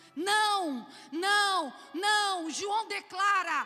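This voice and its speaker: Music in the background behind a woman's raised, projected voice, extremely high in pitch with lively intonation. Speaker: church conference speaker. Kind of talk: sermon.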